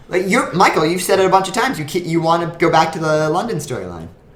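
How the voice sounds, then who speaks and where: A man talks at a very fast pace with lively intonation and a high pitch. Noticeable background noise and audible room echo fill the recording. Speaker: podcast co-host. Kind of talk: casual chat.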